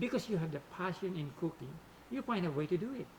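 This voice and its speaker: With a non-native accent, a man speaks at a high pitch and a moderate pace. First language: not English. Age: old. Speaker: hobbyist photographer and video creator. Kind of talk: scripted tutorial narration.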